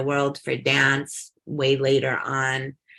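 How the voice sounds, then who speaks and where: A woman's very deep, low voice, bright and sharp in tone, with an American accent. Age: 60s. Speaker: punk scene figure and author. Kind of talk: casual interview.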